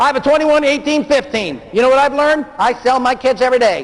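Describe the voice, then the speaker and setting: With noticeable background noise behind him, a man talks at a fairly quick pace in an extremely high pitch. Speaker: motivational speaker. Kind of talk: seminar talk. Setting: stage with audience. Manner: fast; animated.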